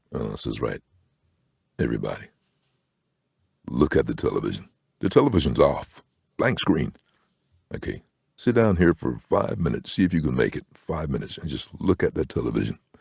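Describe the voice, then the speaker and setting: A man with a very deep, low pitch and vocal fry talks at a fairly quick pace with very wide pitch swings and long, frequent pauses, the sound dry and close with no echo. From Barbados. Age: 60s. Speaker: voice-over artist. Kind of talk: casual chat. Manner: animated.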